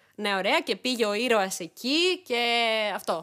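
A woman speaks in a fairly high pitch with ordinary pitch variation and a normal speaking voice. The recording is very clean, with a silent background. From Greece, Thessaloniki. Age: 30s. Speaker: YouTuber. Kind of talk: casual chat.

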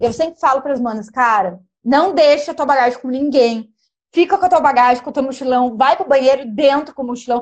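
A woman's high-pitched, animated voice at a very fast pace, with ordinary pitch variation. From interior of São Paulo state, Brazil (Pindamonhangaba). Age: 30s. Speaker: travel influencer. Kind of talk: casual interview chat on a live stream. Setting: home studio, bedroom live stream.

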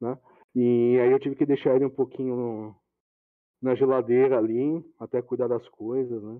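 A man talks in a flat, monotone way. His pitch is medium and his pace moderate. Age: 30s. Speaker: IT manager. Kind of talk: casual interview chat.

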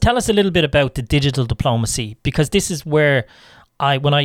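A man with an Irish accent at a fairly quick pace, on a very clean recording with a silent background. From Ireland. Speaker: podcast host. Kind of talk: scripted intro; casual interview.

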